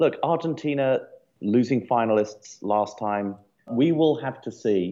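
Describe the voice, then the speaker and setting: Nothing much is heard in the background. The voice carries an English accent. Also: man. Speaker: podcast co-host. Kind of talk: casual chat. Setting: studio.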